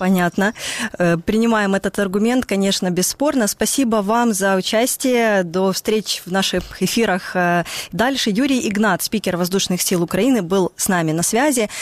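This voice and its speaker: In an unremarkable speaking voice, a woman talks at a moderate pace and medium pitch with ordinary pitch variation, very even loudness, and a dry, close sound with no echo. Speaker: radio host. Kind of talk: live radio news talk show. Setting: studio.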